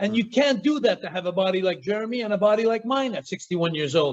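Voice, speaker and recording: A man with a Quebec accent, animated in tone, at a fairly quick pace. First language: French. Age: 60s. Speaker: former pro wrestler. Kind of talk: casual chat.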